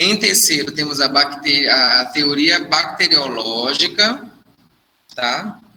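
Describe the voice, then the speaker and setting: Very slow speech from a man with a fairly high pitch and lively intonation, in audible room echo. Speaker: nursing instructor. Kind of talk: lecture.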